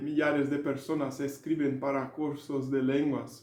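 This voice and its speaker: With a Brazilian accent, a man speaks at a fairly high pitch in a dark, mellow tone, with audible room echo around him. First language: Portuguese (speaking Spanish). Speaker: language learning educator. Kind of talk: video lecture. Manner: halting, with filler sounds.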